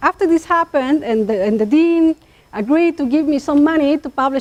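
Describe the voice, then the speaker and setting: Lively intonation rings out in a dry, close sound with no echo. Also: woman. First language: Chatino. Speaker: linguist. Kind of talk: academic talk.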